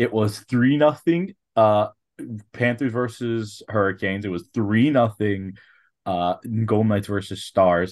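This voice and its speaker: This man has a plain, everyday voice with a fairly low pitch and ordinary pitch variation. He talks at a fairly slow pace against a quiet background. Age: 20s. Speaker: hockey podcast co-host. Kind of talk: casual chat.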